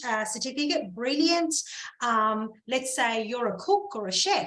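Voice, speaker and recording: A woman speaks with a strong Australian accent and a high pitch. Her intonation is lively and her pace fairly slow. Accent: heavy Australian. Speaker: visa sponsor. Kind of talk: informational talk on a video call. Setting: video call.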